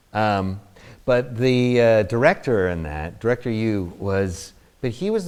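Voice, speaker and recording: A man's fairly low voice with very wide pitch swings and a New Jersey accent, on a very clean recording with a silent background. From New Jersey, US. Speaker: actor. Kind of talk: interview, anecdotes. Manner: halting, many fillers.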